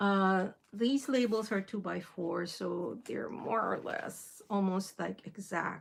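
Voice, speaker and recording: A woman with a Filipino accent speaks at a very slow pace with hardly any pauses. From Philippines. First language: Filipino (Tagalog). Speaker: crafting livestreamer. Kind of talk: casual livestream tutorial.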